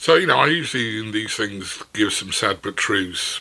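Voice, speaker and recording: A man speaks at a medium pitch with lively intonation. His pace is moderate, and noticeable background noise runs underneath. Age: 60s. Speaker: former CEO, writer. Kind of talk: casual talk to camera. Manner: witty, conversational.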